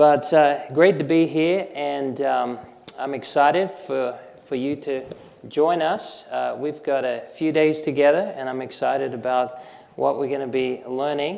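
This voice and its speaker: With an American accent, the speaker goes at a fairly slow pace with fairly even intonation, amid audible room echo and noticeable background noise. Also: man, fairly high pitch for a man. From Australia. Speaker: naturopath and herbalist presenter. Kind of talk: health lecture.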